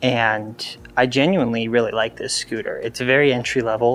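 Beneath a man's talking there is light background noise. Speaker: scooter reviewer. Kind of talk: casual vlog chat. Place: garage. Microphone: lapel.

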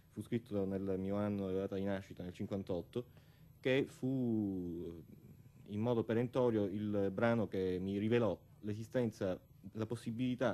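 At a moderate pace, a man with fairly low pitch speaks in a dark, mellow tone with fairly even intonation. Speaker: guest. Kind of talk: interview answer. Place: studio. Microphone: studio mic.

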